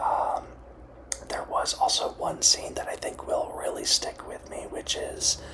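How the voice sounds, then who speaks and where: Whispering against noticeable background noise. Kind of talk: ASMR movie review. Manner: whispered.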